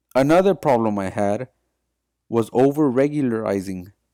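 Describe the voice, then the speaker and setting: A man with a Spanish accent speaks in a dark, mellow tone with lively intonation. The sound is dry and close with no echo, on a very clean recording with a silent background. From US (Mexican-born, raised in US from age three). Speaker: student. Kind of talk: class presentation, read from script.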